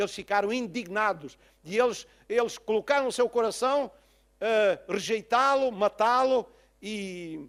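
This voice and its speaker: A man speaks in a high pitch with lively intonation. His pace is fairly slow. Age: 60s. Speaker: pastor. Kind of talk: sermon. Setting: church.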